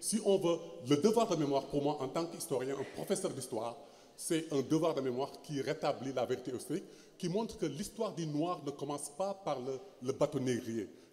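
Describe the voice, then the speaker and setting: This man's dark, mellow tone sits at a fairly high pitch, with lively intonation and a moderate pace. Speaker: historian. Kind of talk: panel discussion. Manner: halting, many fillers and repetitions.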